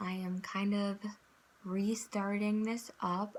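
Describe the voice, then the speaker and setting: A somewhat breathy woman's voice at medium pitch. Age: 20s. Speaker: vlogger, psychology student. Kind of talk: personal testimony vlog. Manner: hesitant, many fillers.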